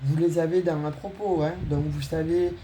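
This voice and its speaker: Moderate-paced speech in a southern French accent, fairly even in intonation, with audible room echo and noticeable background noise. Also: woman. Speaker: tarot reader. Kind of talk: tarot reading for viewers; channel announcement. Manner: hesitant, many fillers.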